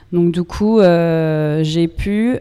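A woman's fairly low voice with a dark, mellow tone, in an American accent. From US, New York. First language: English (speaking French). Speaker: yoga teacher. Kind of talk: interview. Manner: halting.

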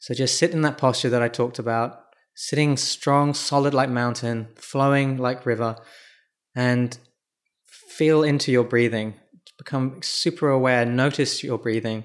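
A man talks at a moderate pace with a normal speaking voice and medium pitch. His intonation stays fairly even. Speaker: podcast host and founder. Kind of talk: guided meditation; monologue on mindfulness, solo podcast. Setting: solo podcast recording.

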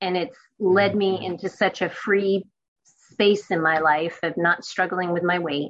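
A woman with a plain, everyday voice, medium pitch and a fairly slow pace. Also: fairly even intonation. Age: 50s. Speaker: news reporter. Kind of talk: interview.

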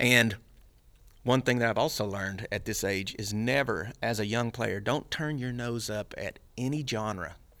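A man with a Texan accent speaks at a fairly slow pace and medium pitch, with ordinary pitch variation. The recording is very clean, with a silent background. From Texas, Dallas. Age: 50s. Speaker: bass player. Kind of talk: casual chat.

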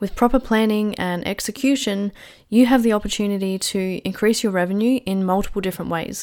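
This woman's pitch sits in the medium range, with ordinary variation. She speaks at a moderate pace on a very clean recording with a silent background. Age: 20s. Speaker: business mentor and podcast host. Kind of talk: solo podcast monologue.

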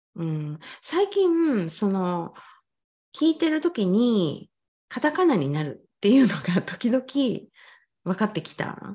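Against a quiet background, a somewhat breathy woman speaks with very wide pitch swings. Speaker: English pronunciation coach. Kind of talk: casual chat.

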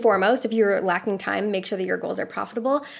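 Here is a woman with an unremarkable speaking voice. Her pitch is fairly high, with ordinary variation. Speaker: productivity strategist. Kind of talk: casual interview chat.

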